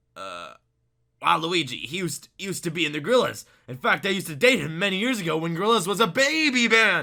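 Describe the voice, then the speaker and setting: In a gruff, put-on character voice, the speaker projects loudly at a very fast pace with lively intonation and big swings in loudness. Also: man, high pitch for a man. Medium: read story. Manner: gruff, grunting.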